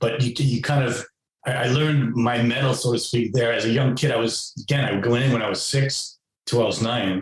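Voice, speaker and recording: This man talks at a fairly quick pace with a medium pitch. His voice is somewhat breathy, and his intonation stays fairly even. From New York City (Queens). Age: 60s. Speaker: author, former foster youth. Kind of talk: interview. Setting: podcast interview.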